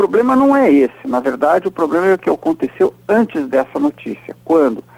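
A man talks at a fairly quick pace in a high pitch, with very wide pitch swings. The sound is dry and close with no echo. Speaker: political scientist and professor, weekly radio commentator. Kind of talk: radio commentary interview. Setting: recorded radio interview.

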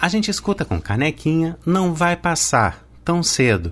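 A man with a fairly high pitch is talking while music plays behind him. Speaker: radio presenter. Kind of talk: radio music program presenting.

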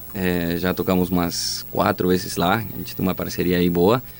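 A man speaks with a Spanish accent. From Chile, Magallanes. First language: Spanish (speaking Portuguese). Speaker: band singer and guitarist. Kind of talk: interview.

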